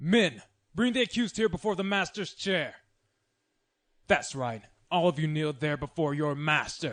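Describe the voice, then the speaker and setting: A man puts on a character voice, fairly high in pitch, with lively intonation at a moderate pace. He leaves long, frequent pauses against a quiet background. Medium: audio drama. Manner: harsh, barking.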